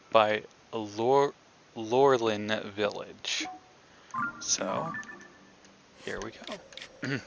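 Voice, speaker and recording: Very slow speech with long, frequent pauses and ordinary pitch variation, music in the background. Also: man, medium pitch for a man. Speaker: gaming streamer. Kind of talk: live gameplay commentary.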